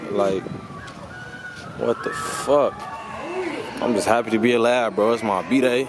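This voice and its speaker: Over noticeable background noise, a man speaks at a medium pitch and a fairly slow pace. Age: 20s. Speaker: travel vlogger. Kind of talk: casual vlog talk. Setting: outdoors. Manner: animated.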